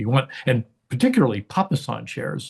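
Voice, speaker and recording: Against a quiet background, a man talks at a fairly quick pace in a somewhat breathy voice. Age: 60s. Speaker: engineer and artist. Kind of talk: interview conversation. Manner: hesitant, many fillers.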